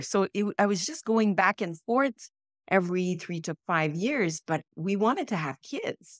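At a fairly slow pace, a woman talks in a dry sound with no echo against a quiet background. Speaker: podcast guest. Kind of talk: interview answer. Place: home room.

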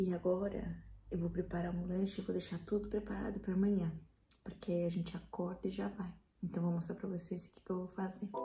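A woman speaks at a fairly quick pace with vocal fry. Her tone is dark and mellow, her intonation monotone and flat. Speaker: vlogger. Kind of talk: casual vlog. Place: kitchen. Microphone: phone near.

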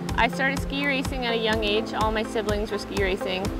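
A woman's voice, dry with no echo, over loud background music. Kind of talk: interview answer. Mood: positive, confident. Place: waterside.

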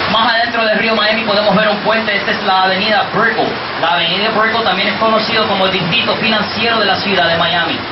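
Speech comes at a very fast pace over loud background noise. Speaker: boat tour guide. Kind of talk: tour commentary. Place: boat.

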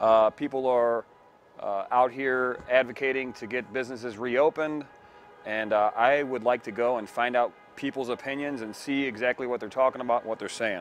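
A man talks at a moderate pace with fairly even intonation. The sound is dry with no echo, and music plays in the background. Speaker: citizen journalist. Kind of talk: street interviews. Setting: outdoors at a protest. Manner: casual, hesitant with many fillers. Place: street. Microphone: phone near.

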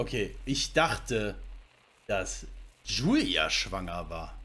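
A man speaks at a very slow pace. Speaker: gaming streamer. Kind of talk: casual chat. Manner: animated. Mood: thoughtful, puzzling over the plot. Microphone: headset.

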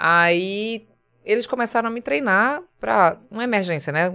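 Her tone is bright and sharp, set at a medium pitch with lively intonation. The woman speaks in a Pernambuco accent on a very clean recording with a silent background. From Pernambuco Agreste, Brazil. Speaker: TV journalist. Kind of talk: casual interview chat. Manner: animated.

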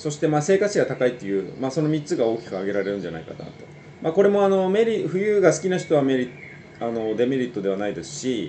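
A man talks at a very fast pace, his pitch swinging very widely and his loudness shifting a lot, over light background noise. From Greater Tokyo area (Saitama); Japan. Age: 40s. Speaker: financial advisor YouTuber. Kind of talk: casual solo talk to camera; casual informational talk. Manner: many filler hesitations; polite formal speech. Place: home room. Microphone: webcam.

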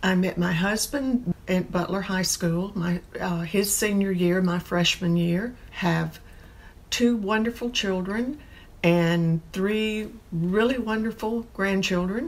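With an American accent, a woman talks at a very slow pace and ordinary pitch variation. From Augusta, Georgia, USA. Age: 70s. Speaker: documentary interviewee. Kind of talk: documentary interview answer. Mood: somber, reflective. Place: home room. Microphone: lapel.

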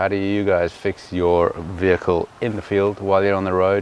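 Light background noise sits behind a man whose fairly low voice sounds dry with no echo. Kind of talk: casual vlog tutorial. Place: car. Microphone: phone near.

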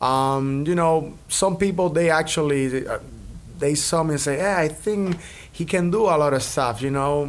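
A man speaks with a Cuban accent at a moderate pace. His pitch is fairly high, with ordinary pitch variation. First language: Spanish. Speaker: percussionist and entertainer. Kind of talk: casual interview. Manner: animated. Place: studio. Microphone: studio mic.

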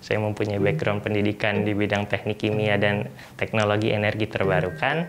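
Clear music plays in the background. A man with a fairly low pitch speaks at a moderate pace. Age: 20s. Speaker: environmental entrepreneur. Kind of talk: interview. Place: garden.

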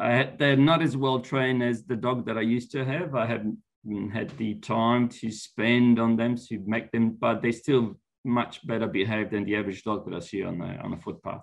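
A man with an Italian accent speaks at a medium pitch. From Italy (Florence); Italy. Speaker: university lecturer. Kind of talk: interview. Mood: relaxed, friendly. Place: home room. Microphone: video call.

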